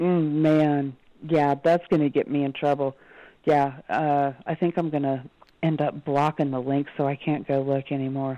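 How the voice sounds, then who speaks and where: The speech is monotone, with flat intonation, against a quiet background. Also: woman, very deep, low pitch for a woman, moderate pace. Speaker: e-liquid mixer. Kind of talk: casual chat.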